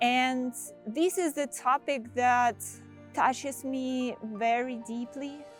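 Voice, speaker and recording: Music plays behind a woman speaking very slowly in a Russian accent. Her pitch is high and her intonation fairly even. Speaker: senior product manager. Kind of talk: casual talk to camera.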